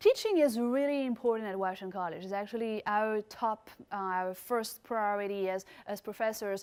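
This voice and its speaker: A woman's fairly high voice with a French accent and fairly even intonation. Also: moderate pace. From France. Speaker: chemistry professor. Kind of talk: recorded presentation. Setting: remote presentation.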